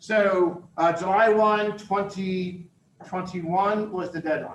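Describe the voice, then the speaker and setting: With an American accent, a man speaks high in pitch and energetic in tone. Noticeable background noise is present. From Philadelphia, US. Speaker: university dean and campus director. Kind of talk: presentation to a business audience. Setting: live talk with in-person and online audience. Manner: loud.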